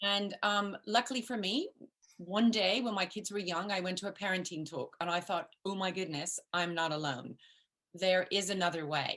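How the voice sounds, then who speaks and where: A woman talks in a medium pitch and at a moderate pace, her pitch varying in an ordinary way. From grew up in the US, English-born. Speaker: parenting coach. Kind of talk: interview.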